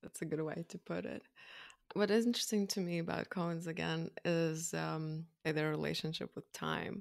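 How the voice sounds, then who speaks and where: A woman speaks at a moderate pace with a Russian accent. The recording is very clean and dry, close with no echo, over a silent background. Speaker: filmmaker and podcast co-host. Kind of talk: casual chat.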